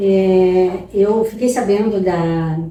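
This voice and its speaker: A woman with a medium-pitched voice speaks with fairly even intonation, and some room echo can be heard. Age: 70s. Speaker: patient giving testimonial. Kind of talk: testimony.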